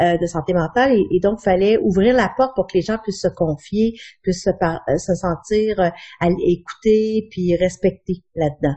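Somewhat breathy, a woman speaks at a fairly slow pace and a medium pitch, with ordinary pitch variation. Her loudness stays very even throughout. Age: 40s. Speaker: chronic pain patient. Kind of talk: interview testimony.

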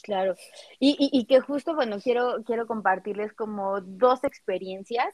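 At a fairly slow pace, an unremarkable speaking voice carries ordinary pitch variation. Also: woman, fairly high pitch for a woman. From Mexico, Cuernavaca. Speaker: sexologist podcast co-host. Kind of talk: casual chat.

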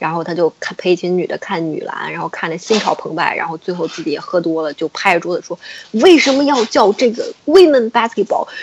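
A woman's medium-pitched voice at a fairly quick pace, with very wide pitch swings and noticeable background noise. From China. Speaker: podcast guest. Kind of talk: casual chat.

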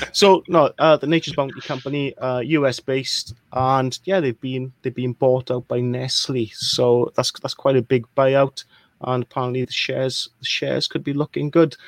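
Speaking with a Welsh accent, a man at medium pitch keeps a moderate pace and fairly even intonation. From Wales. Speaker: crypto investor. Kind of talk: casual live chat. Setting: live stream.

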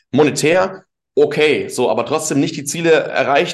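An animated tone with ordinary pitch variation. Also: man. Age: 20s. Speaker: LinkedIn marketing consultant. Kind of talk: casual interview chat.

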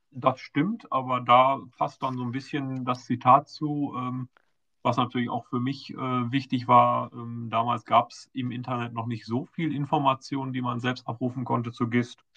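A man speaks at a moderate pace and medium pitch. His intonation is monotone and flat, yet his loudness swings widely. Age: 40s. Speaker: patient advocate, foundation board member. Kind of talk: casual interview.

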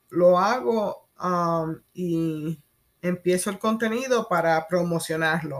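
Speaking at a very slow pace, a woman with a fairly low pitch comes through on a very clean recording with a silent background. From Puerto Rico. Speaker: podcast host. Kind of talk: casual solo monologue. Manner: hesitant, many fillers.

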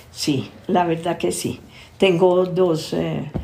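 A woman speaks very slowly while noticeable background noise and audible room echo fill the recording. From Colombia. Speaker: family constellations therapist. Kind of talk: interview.

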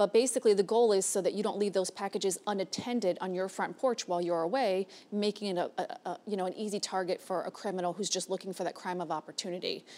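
A woman speaks at a very fast pace with hardly any pauses, her tone dark and mellow and her intonation fairly even. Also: medium pitch for a woman. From South Florida (Hialeah, Miami-Dade). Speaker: police major. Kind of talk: interview.

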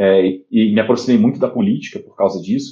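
A man's medium-pitched voice with a dark, mellow tone, fairly quick pace, and ordinary pitch variation. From Rio de Janeiro, Brazil. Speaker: startup executive. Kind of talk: interview.

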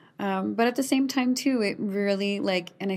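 A woman with a Canadian Prairie accent speaks at a moderate pace. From Saskatchewan, Canada (rural farm). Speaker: storyteller and poet. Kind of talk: casual interview chat.

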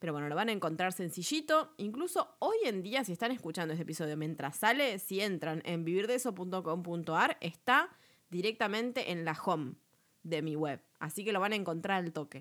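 In a Rioplatense accent, a woman speaks with lively intonation. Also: medium pitch for a woman, moderate pace, very clean recording, silent background. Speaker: podcast host, web business coach. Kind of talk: tutorial. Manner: casual, chatty.

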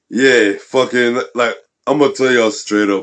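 A man talks with medium pitch and ordinary pitch variation. It's a plain, everyday voice. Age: 30s. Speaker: podcast host.

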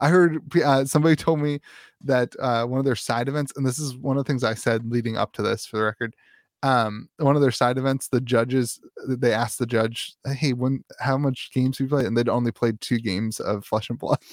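In a very clean recording with a silent background and a dry, close sound with no echo, a man with a medium pitch talks at a fairly quick pace using fairly even intonation and an ordinary speaking voice. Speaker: podcast host and content creator. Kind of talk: casual chat.

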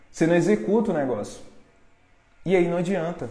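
Intonation lively, a man speaks with a high pitch. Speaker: online marketing course seller. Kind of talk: live-stream pep talk. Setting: live stream. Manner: urgent, confrontational, motivational.

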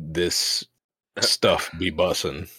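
This is a raspy, put-on character voice. The sound is dry and close with no echo. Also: man. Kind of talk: slangy, millennial-sounding.

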